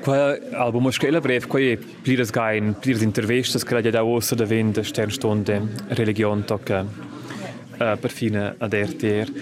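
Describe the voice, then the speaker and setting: Noticeable background noise sits behind a man with a medium pitch. He talks at a fairly slow pace with very even loudness and fairly even intonation. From Switzerland, Graubünden (Lumbrein). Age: 30s. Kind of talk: personal testimony interview.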